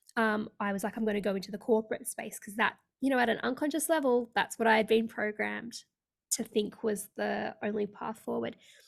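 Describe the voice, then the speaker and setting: This woman has a fairly high pitch and some vocal fry. She uses fairly even intonation with an Australian accent. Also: fairly quick pace. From Australia (Sydney). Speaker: leadership coach. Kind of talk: interview.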